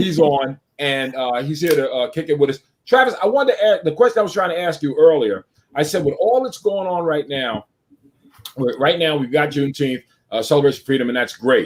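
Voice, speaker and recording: This is a normal speaking voice, moving at a fairly quick pace with lively intonation. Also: man, fairly high pitch for a man. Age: 60s. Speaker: talk show host. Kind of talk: live online talk show.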